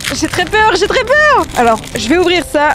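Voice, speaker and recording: A woman speaks in an animated tone at an extremely high pitch, her voice swinging very widely up and down over noticeable background noise. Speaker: YouTuber. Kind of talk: casual vlog challenge. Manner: fast when stressed.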